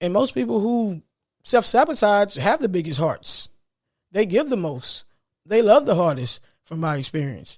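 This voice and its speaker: A man's high-pitched voice rises and falls in very wide pitch swings. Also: moderate pace. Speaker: podcast host. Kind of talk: motivational monologue. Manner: stuttering today; repetitive, emphatic.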